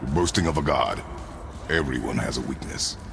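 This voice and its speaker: A man performs a put-on character voice over loud background noise. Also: moderate pace. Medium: video game. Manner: terse, gruff.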